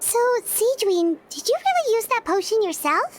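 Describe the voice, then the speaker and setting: Using a put-on character voice, a woman speaks at a moderate pace in an extremely high, squeaky pitch with lively intonation. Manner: curious, a little surprised.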